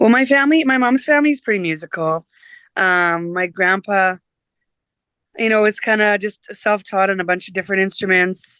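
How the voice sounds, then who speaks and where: The woman's tone is bright and sharp as she talks at a moderate pace. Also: medium pitch for a woman. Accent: Canadian Prairie. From Saskatchewan, Canada. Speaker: singer-songwriter and teacher. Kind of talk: interview. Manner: hesitant, many fillers.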